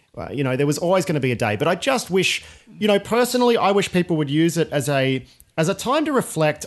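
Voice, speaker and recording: With an Australian accent, a man speaks at a fairly quick pace. The background is quiet. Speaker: podcast host. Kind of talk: casual chat.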